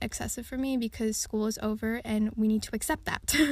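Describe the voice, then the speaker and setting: A woman talks at a fairly quick pace in an unremarkable speaking voice, pitched fairly high. Her pitch variation is ordinary, and the recording is very clean with a silent background. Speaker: solo podcaster. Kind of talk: casual podcast monologue. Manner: chatty, frequent laughs and fillers.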